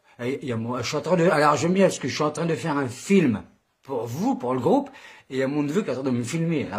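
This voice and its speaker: Very fast and somewhat breathy, a man with a fairly high pitch talks with lively intonation. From Boulogne-sur-Mer, northern France.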